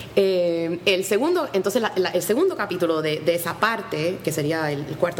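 Noticeable background noise surrounds a woman speaking with lively intonation. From Puerto Rico. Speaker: history professor and author. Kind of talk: radio interview.

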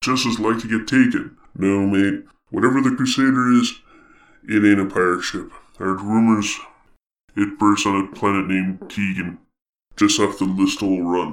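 Using a put-on character voice, a man speaks at a moderate pace and a fairly low pitch, with long, frequent pauses. The recording is very clean, with a silent background. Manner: gruff, folksy, rambling.

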